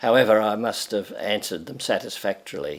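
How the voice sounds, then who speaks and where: This man speaks with an Australian accent. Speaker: retired pharmacy educator. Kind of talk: personal reminiscence interview. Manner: halting.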